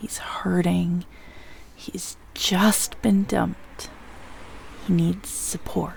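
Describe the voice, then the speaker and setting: A nervous, very slow whisper over noticeable background noise. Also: woman. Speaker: voice actor, audio roleplay performer. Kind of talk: audio roleplay, scripted romantic ASMR. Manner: nervous, self-talking pep talk, hushed.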